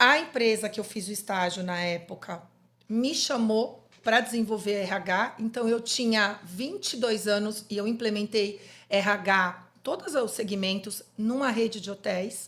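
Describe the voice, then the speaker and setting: A woman speaks in a normal speaking voice with a fairly high pitch. Her pace is fairly slow, and her pitch variation is ordinary. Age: 50s. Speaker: psychologist. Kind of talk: podcast interview.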